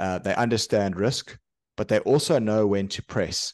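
The sound is dry and close with no echo, over a quiet background. A man talks with ordinary pitch variation. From South Africa. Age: 40s. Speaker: veteran trader. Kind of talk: casual interview chat.

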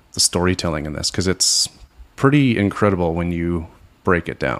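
A man's very deep, low voice is heard on a very clean recording with a silent background. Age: 30s. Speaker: music fan podcast guest. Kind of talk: casual chat.

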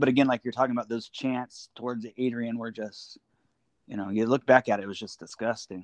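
With an ordinary speaking voice, a man talks at a medium pitch and fairly quick pace, keeping his intonation fairly even. His loudness swings widely, and the sound is dry and close with no echo. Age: 40s. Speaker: wrestling fan. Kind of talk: casual chat. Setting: phone call.

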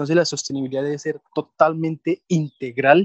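Fairly even intonation from a man speaking at a moderate pace. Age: 20s. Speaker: environmental engineer and climate network director. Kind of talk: interview. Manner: halting.

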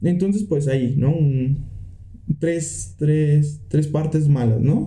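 In a room with audible echo, a man with a dark, mellow tone and a fairly high pitch speaks at a very slow pace, somewhat breathy, with very even loudness and ordinary pitch variation. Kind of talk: casual chat. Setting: home studio.

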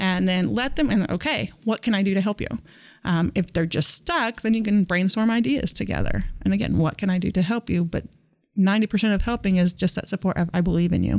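A woman speaks at medium pitch and a fairly quick pace with a Midwestern US accent. Her loudness is very even, her pitch variation ordinary, and the recording very clean with a silent background. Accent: US Midwest. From Northwest Kansas. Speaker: teacher. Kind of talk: casual interview. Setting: studio.

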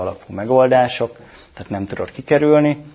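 This man has an unremarkable speaking voice, moving at a fairly quick pace with ordinary pitch variation. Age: 40s. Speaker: cloud technology specialist. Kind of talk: interview.

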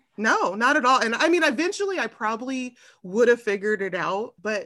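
A woman with a Californian accent, bright, sharp tone, and a quiet background. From Southern California, Long Beach. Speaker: architecture marketing professional and podcaster. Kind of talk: casual interview conversation.

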